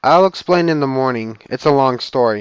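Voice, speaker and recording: A put-on character voice from a man, medium in pitch, at a moderate speed. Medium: read story.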